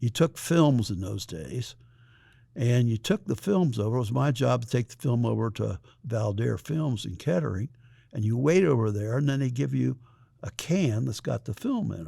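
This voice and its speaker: A somewhat breathy voice with an American accent, lively intonation and a moderate pace on a very clean recording with a silent background. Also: man, medium pitch for a man. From US Midwest, Indiana. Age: 80s+. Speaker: retired school principal. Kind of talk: interview, personal reminiscence. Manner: hesitant, with many fillers.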